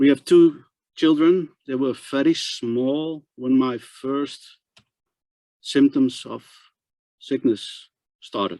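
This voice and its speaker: Speaking in a Dutch accent, a man keeps a medium pitch and fairly even intonation at a very slow pace. The sound is dry and close with no echo. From Netherlands. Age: 60s. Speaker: transplant patient advocate. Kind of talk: presentation. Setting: webinar. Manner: halting, repetitive.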